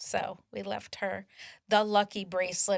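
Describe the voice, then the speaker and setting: A woman's voice with vocal fry, in a very clean recording against a silent background. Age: 60s. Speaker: nonprofit volunteer speaker. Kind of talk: casual interview chat. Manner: animated.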